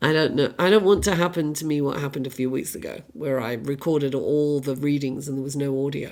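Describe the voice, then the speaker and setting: A woman with a very deep, low pitch and ordinary pitch variation speaks at a very fast pace with hardly any pauses, over noticeable background noise. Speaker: astrologer and tarot reader. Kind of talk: tarot reading. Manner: halting with fillers.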